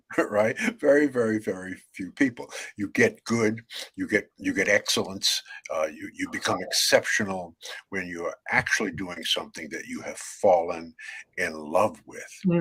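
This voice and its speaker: A man with a New York accent speaks at a moderate pace, his loudness swinging widely. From New York, Brooklyn. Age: 70s. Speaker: author and networking speaker. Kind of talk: interview. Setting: video call. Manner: halting.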